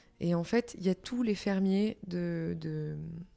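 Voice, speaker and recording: A woman speaks in a dark, mellow tone at a medium pitch. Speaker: singer-songwriter. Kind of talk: interview answer.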